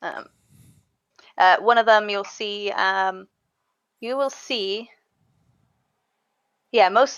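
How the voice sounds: Speaking at a slow pace, a woman of medium pitch has a clear, smooth, fairly bright tone and ordinary pitch variation.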